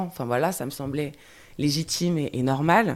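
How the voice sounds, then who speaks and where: A woman with a very deep, low pitch and ordinary pitch variation is heard in a very clean recording over a silent background. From Guadeloupe, raised in mainland France. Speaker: podcast guest sharing life story. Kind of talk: testimony. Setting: rainy day, recorded together. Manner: halting.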